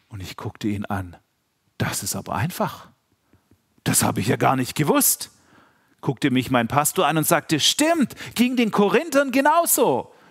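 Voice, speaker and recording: The tone is animated and the pace moderate. Long, frequent pauses break up the speech. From Swabia, Germany. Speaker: preacher. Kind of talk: sermon.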